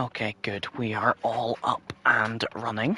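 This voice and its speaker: A quiet man at a medium pitch, flat and monotone, at a very slow pace, with a dry, close sound with no echo and noticeable background noise. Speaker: sim racing commentator. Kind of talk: live commentary. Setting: home livestream at night.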